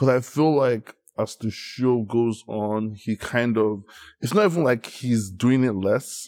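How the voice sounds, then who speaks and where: At a fairly slow pace, a man with an unremarkable speaking voice and medium pitch is heard in a very clean recording with a silent background. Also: ordinary pitch variation. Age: 30s. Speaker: podcast guest. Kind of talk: casual chat.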